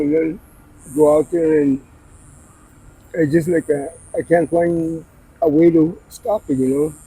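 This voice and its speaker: A man's fairly high pitch, fairly even intonation and fairly slow pace. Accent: American. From Arizona, Scottsdale. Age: 60s. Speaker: person in addiction. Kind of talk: street interview. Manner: soft-spoken.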